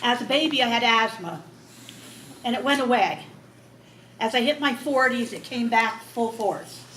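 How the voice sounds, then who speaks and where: A woman speaks at a fairly slow pace with a fairly high pitch and ordinary pitch variation, with audible room echo and noticeable background noise. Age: 70s. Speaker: patient with COPD. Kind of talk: testimony.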